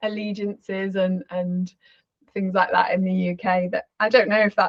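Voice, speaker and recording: A woman speaks at a moderate pace with a slight Scouse accent. Her voice is somewhat breathy. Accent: weak Scouse. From Liverpool, England. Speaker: architect, interviewer. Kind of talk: casual chat.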